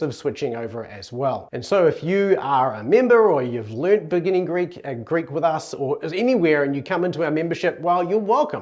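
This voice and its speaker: A man's fairly high voice with a New Zealand accent, lively intonation and a fairly quick pace. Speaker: Greek language teacher. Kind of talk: educational talk.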